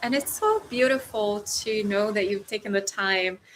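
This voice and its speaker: With a Brazilian accent, a woman speaks at a medium pitch with fairly even intonation. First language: Portuguese. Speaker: relationship coach. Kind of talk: live stream talk. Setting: livestream.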